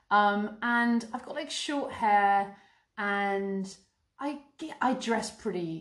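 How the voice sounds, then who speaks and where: With an English accent, a woman talks at a very slow pace. Her voice is medium in pitch, with lively intonation. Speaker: podcast co-host. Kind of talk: casual chat.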